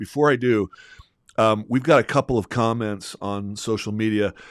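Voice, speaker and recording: Recorded very cleanly against a silent background, a man talks at medium pitch and a moderate pace. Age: 60s. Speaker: podcast co-host. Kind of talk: casual chat. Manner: halting.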